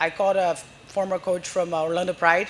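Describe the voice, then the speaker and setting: The speaker has a non-native accent and a fairly quick pace, with noticeable background noise behind. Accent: foreign. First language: Portuguese. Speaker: soccer coach. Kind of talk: live podcast interview. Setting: live event at a brewery with audience. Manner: animated.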